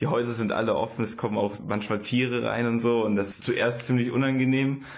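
A man talks at a fairly quick pace in a monotone, flat intonation, with audible room echo. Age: 20s. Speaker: student, former volunteer in Guatemala. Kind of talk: radio interview.

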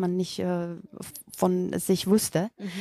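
A woman speaks with a Macedonian accent at a medium pitch, her tone dark and mellow. Her intonation is monotone and flat, and the sound is dry and close with no echo. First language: Macedonian (speaking German). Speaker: yoga teacher. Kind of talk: interview. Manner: halting.

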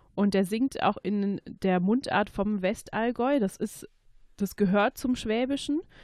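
A woman with a fairly high voice and a slight Swabian accent speaks at a fairly slow pace with ordinary pitch variation. The recording is very clean and dry, close with no echo, against a silent background. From Swabia, Germany (Stuttgart–Ulm–Biberach area). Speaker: dialect speaker. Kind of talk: interview.

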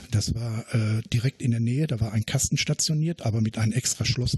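In a dry, close recording with no echo, a man speaks very fast at a medium pitch, somewhat breathy, with ordinary pitch variation. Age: 60s. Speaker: retired miner and blaster. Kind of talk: interview.

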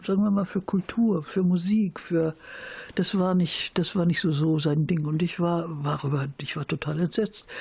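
Somewhat breathy, a woman speaks at a fairly low pitch in a dark, mellow tone with ordinary pitch variation. The recording is very clean, with a silent background. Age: 70s. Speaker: peace and women's rights activist. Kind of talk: interview. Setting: at home.

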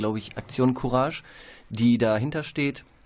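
This man talks at a moderate pace and medium pitch, with fairly even intonation. It is an unremarkable speaking voice. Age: 20s. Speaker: trainee educator. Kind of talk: radio interview. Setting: radio studio.

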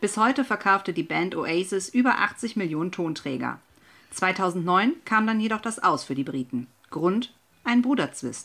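A woman of medium pitch talks at a fairly slow pace. Her pitch swings very widely. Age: 30s. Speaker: guest radio presenter. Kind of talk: scripted radio presentation.

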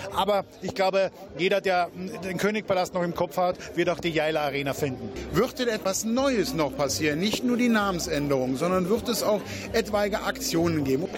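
The speaker's intonation is lively, with music playing in the background. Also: man, high pitch for a man, moderate pace. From Austria. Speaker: venue managing director. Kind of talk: radio interview.

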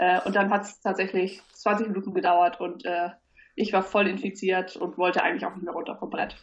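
At a fairly quick pace, a woman with a medium pitch speaks in a flat monotone while her loudness swings widely. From Hamburg, northern Germany. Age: 30s. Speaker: platform founder. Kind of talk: interview. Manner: hesitant, many fillers.

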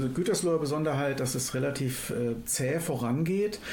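A man's fairly high-pitched voice at a fairly quick pace with ordinary pitch variation, amid noticeable background noise and audible room echo. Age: 50s. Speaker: climate activist. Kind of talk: radio interview. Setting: studio. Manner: hesitant with fillers.

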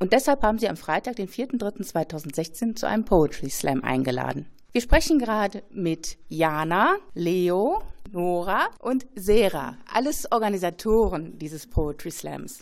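A woman with a medium-pitched voice speaks at a very slow pace, her pitch swinging very widely. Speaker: radio host. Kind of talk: radio presentation.

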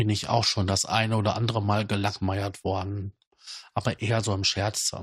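A man talks in a somewhat breathy voice with fairly low pitch. His intonation is flat and monotone. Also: quiet background. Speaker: podcast host. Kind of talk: casual monologue.

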